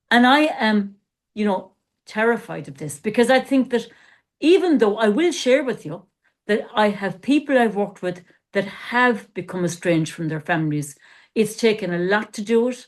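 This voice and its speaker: Using a normal speaking voice, a woman talks at a moderate pace with a fairly high pitch, lively intonation and big swings in loudness. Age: 60s. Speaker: coach and former therapist. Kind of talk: casual podcast discussion.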